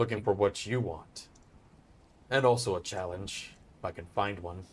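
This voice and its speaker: A man's put-on character voice, fairly low in pitch, at a moderate pace, with ordinary pitch variation and big swings in loudness. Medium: actual play. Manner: calm, terse.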